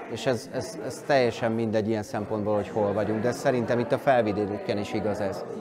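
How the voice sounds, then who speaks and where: A man talks at a fairly quick clip with hardly any pauses and fairly even intonation, over noticeable background noise. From Hungary. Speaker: event host and cultural organizer; event host. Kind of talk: interview. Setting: indoors at a summer camp. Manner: hesitant with word repetitions. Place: hall.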